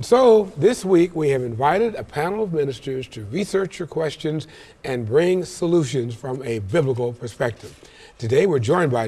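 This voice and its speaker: This man's pitch swings very widely. He talks at a fairly quick pace. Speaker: talk show host. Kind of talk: TV show introduction and panel moderation. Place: studio. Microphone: lapel.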